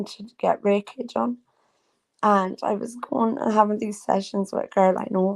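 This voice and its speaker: A woman with an Irish accent at medium pitch, ordinary pitch variation and a fairly slow pace. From Ireland. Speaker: livestreamer and psychic reader. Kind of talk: casual livestream chat. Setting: live video stream. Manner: rambling, halting with many fillers.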